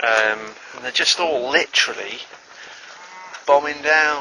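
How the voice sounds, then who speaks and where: Noticeable background noise sits behind the speaker. A man mumbles. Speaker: dairy farm worker. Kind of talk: casual talk to camera. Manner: mumbling, hesitant, wry.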